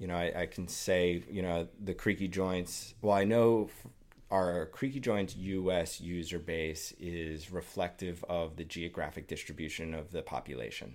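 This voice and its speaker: With a New York accent, a man speaks at a very deep, low pitch. His pace is moderate, and his pitch variation ordinary. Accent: New York American. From US, New York City. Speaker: patient advocate. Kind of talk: interview. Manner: halting, many fillers and repetitions.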